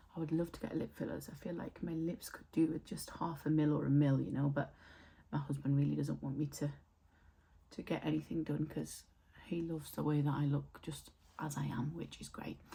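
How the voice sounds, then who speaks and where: With a British accent, a woman talks at a moderate pace, leaving long, frequent pauses. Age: 30s. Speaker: beauty vlogger. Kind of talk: casual chat. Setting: home, filming in front of mirror.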